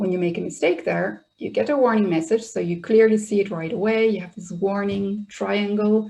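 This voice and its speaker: A woman with a Dutch accent has a somewhat breathy voice with a dark, mellow tone. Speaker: software trainer. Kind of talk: webinar tutorial.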